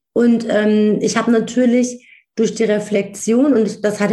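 This woman's voice sits fairly high and sounds somewhat breathy. She talks at a moderate pace. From Germany, Wiesbaden (Hesse), Turkish family background. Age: 40s. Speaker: speaker and coach. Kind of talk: interview.

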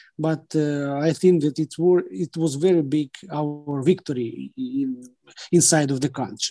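Recorded with a dry, close sound, no echo and a quiet background, a man talks at a fairly slow pace in a dark, mellow tone, fairly high in pitch with ordinary variation. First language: Ukrainian or Russian. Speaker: government advisor. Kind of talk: interview. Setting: video call. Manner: halting.

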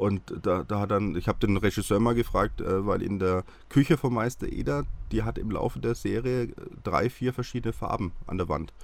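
The speaker has vocal fry and ordinary pitch variation. The pace is moderate. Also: man, fairly low pitch for a man. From Franconia, Bavaria (near Hassfurt). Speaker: TV nostalgia expert. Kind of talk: casual interview.

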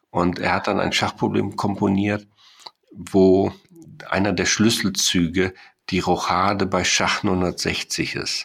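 Pausing long and often, a man speaks very slowly in a monotone, flat intonation at a very deep, low pitch. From Germany, Sauerland. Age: 60s. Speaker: mathematics professor. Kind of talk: interview. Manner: hesitant, many filler sounds.

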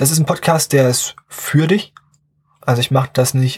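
A somewhat breathy male voice at a fairly slow pace, with ordinary pitch variation. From southern Brandenburg, eastern Germany. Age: young. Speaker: podcast host, business student. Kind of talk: casual solo podcast monologue.

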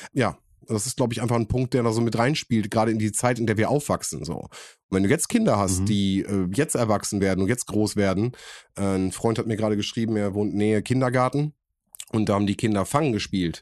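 Against a quiet background, a man talks at a very fast pace in a fairly low-pitched voice with ordinary pitch variation. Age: 30s. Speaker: podcast co-host. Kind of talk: casual chat.

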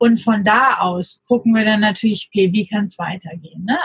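A woman talks at a fairly quick pace in a fairly high voice, her pitch varying in an ordinary way. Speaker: startup co-founder, social media agency. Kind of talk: casual interview. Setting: remote recording.

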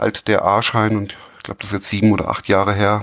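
Speaking at a very fast pace, the man has a fairly low-pitched voice. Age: 40s. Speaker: volleyball referee. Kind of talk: casual interview. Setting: remote call. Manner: hesitant, many fillers.

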